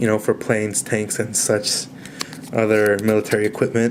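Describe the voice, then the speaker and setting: A man keeps a moderate pace as noticeable background noise carries on around him. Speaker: coin collector. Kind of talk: casual talk to camera. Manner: hesitant, many fillers.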